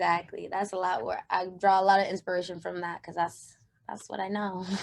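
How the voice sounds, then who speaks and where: Monotone, flat intonation with big swings in loudness. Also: woman. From Jamaica. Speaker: singer. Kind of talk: interview.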